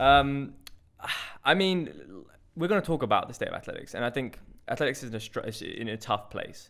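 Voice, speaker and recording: A man with a London accent at a fairly quick pace, long and frequent pauses, on a very clean recording with a silent background. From North London, England. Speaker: podcast host and hurdler. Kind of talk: casual chat.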